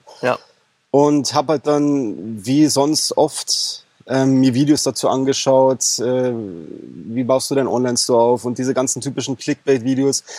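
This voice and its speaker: Speaking at a fairly slow pace, a man with a medium pitch and a dark, mellow tone keeps his intonation fairly even on a very clean recording with a silent background. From Bavaria, Germany. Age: 30s. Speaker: e-commerce coaching client. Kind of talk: interview. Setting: in person on Mallorca.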